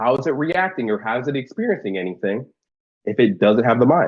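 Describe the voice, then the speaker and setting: Using lively intonation, a man talks at a moderate pace and medium pitch. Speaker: online debater. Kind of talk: heated debate.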